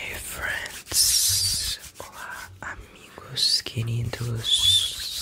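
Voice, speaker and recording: A man at a very slow pace over loud background noise, with a dry sound and no echo. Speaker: ASMR creator. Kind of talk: ASMR whispering city names. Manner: whispered. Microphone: studio mic.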